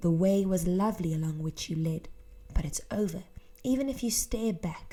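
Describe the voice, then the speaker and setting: A woman speaks with an English accent at a moderate pace, her medium-pitched voice somewhat breathy. The tone is dark and mellow, with ordinary pitch variation. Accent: English accent when speaking Afrikaans. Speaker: teacher. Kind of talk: tutorial.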